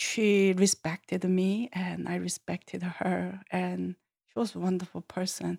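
Recorded very cleanly against a silent background, a woman speaks at a fairly slow pace in a dry, close sound with no echo. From South Korea, Seoul. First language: Korean. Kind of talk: interview.

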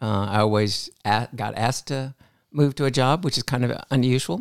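An unremarkable speaking voice goes at a fairly quick pace. The sound is dry and close with no echo, on a very clean recording with a silent background. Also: man. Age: 60s. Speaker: hospital pharmacist and mentor. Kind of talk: casual chat.

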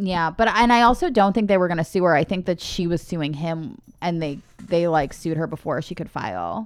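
A woman's plain, everyday voice, fairly low in pitch, at a fairly quick pace with ordinary pitch variation. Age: 30s. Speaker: film podcast co-host. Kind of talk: casual chat.

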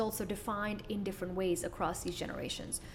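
Background noise is noticeable. Over it, a woman talks fairly fast. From Middle East (born in Kuwait). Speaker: business coach and entrepreneur. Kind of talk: interview.

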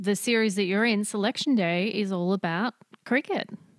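A woman with an Australian accent and a fairly high pitch. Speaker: podcast host. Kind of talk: casual chat. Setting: video call.

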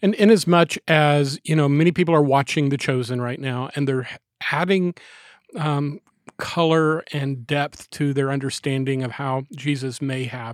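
Captured in a very clean recording with a silent background and a dry, close sound with no echo, a man with a normal speaking voice and fairly high pitch talks at a moderate pace with ordinary pitch variation. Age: 60s. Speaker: pastor. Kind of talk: casual chat.

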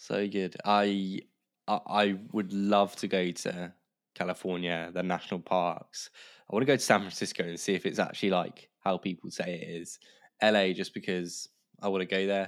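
A very deep, low male voice in a flat monotone at a moderate pace, on a very clean recording with a silent background. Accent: southern English. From southern England, Kent (Canterbury). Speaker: podcast production business founder. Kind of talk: casual chat.

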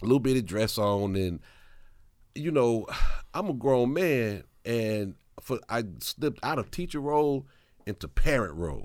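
Against a very clean recording with a silent background, a man with a Mississippi accent speaks at medium pitch and a fairly slow pace, with lively intonation and long, frequent pauses. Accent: Mississippi Southern US. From Mississippi, US South (Hattiesburg). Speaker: hip-hop journalist and former teacher. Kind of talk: casual interview chat.

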